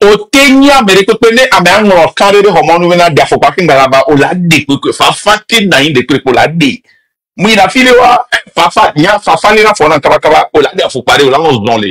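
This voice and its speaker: A man speaks in a high pitch with very wide pitch swings and a passionate tone. His loudness stays very even throughout. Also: moderate pace, dry, close sound with no echo. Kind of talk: heated debate. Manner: loud, passionate.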